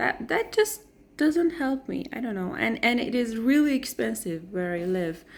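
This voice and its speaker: A woman's somewhat breathy, fairly high voice with a non-native accent and very wide pitch swings, on a very clean recording with a silent background. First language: not English. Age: 20s. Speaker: vlogger. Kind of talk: personal vlog. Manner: hesitant, with fillers and self-corrections.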